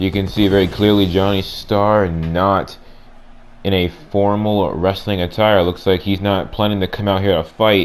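A man speaks at a moderate pace in a fairly low voice with monotone, flat intonation. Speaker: gaming channel creator voicing wrestling commentary. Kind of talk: mock ring announcer and play-by-play wrestling commentary. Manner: booming showman delivery with repeated ladies and gentlemen; hype-building, speculative play-by-play patter.

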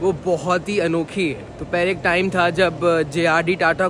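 With light background noise and a dry sound with no echo, a man speaks in a high pitch with monotone, flat intonation. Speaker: travel vlogger. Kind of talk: casual vlog chat. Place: station. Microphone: phone near.

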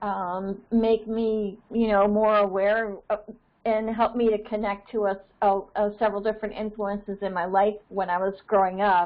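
Against a quiet background, a woman with an American accent speaks at a moderate pace with monotone, flat intonation. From Maine, US. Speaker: birding society organizer. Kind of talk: meeting facilitation. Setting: conference call. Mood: warm, reminiscing. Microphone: earbuds.

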